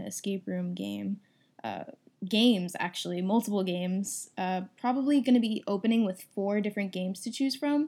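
Recorded very cleanly with a silent background, a woman speaks at a moderate pace in a medium pitch with a dark, mellow tone. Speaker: podcast host. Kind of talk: casual chat.

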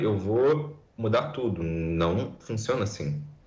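A man with a fairly low pitch speaks with lively intonation and a somewhat breathy quality, with audible room echo around him. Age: 20s. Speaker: environmental scientist. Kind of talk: podcast interview.

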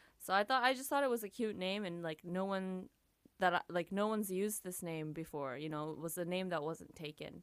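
At a fairly quick pace and medium pitch, a woman talks with lively intonation in an unremarkable speaking voice. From Japan (Tokyo), mixed Japanese-American. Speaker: singer and music producer. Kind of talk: casual interview chat.

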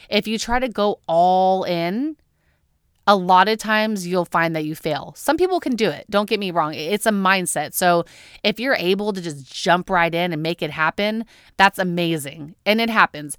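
In a normal speaking voice, a woman talks at a moderate pace, her pitch medium and her pitch variation ordinary. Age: 30s. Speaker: podcast host. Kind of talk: solo podcast monologue.

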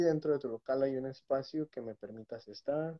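At a moderate pace, the man talks in a plain, everyday voice. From Mexico. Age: 30s. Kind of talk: casual interview with testimony.

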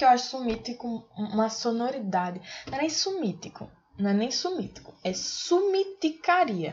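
With an animated tone, a woman speaks at a high pitch that swings very widely. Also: moderate pace. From Aracaju, Sergipe, Brazil. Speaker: podcast co-host. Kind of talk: casual chat.

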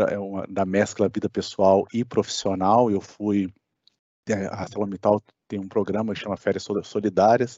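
This man has an ordinary speaking voice. He talks at a fairly slow pace with a fairly low pitch. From Brasília, Brazil. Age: 30s. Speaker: electrical engineer. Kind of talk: casual chat.

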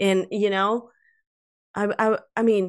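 A woman of medium pitch talks at a moderate pace with a Latin American accent. The background is quiet. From South America. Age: 50s. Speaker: author and life coach. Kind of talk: casual interview.

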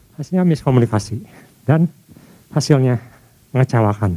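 A man with a dark, mellow tone and a somewhat breathy voice. His pitch swings very widely, and the sound is dry and close with no echo. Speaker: preacher. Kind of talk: sermon. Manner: formal; earnest, driven, preacher in full flow.

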